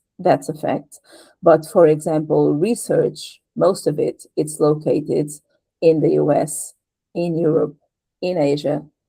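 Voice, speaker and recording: At a fairly slow pace, a woman speaks with a Portuguese accent. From Portugal. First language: European Portuguese. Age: 50s. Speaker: patient advocate and translator. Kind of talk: interview conversation. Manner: halting.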